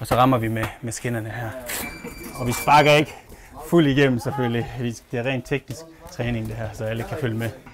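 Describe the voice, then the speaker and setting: Over noticeable background noise, a man talks at a fairly quick pace. His voice sits at a medium pitch with fairly even intonation. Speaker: thai boxer. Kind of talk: casual chat. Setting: outdoors.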